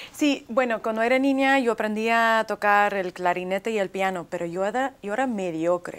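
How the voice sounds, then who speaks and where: Here a woman speaks in a Russian accent at a fairly high pitch. Her pace is moderate. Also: ordinary pitch variation, hardly any pauses. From US, arrived from Leningrad at age three. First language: Russian (speaking Spanish). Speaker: author; interviewee. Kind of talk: TV interview. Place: studio. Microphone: lapel.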